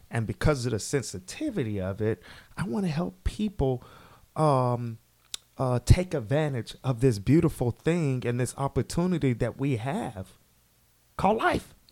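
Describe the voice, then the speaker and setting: A man's medium-pitched, unremarkable speaking voice at a moderate pace, with lively intonation. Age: 30s. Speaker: motivational speaker. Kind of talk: casual interview.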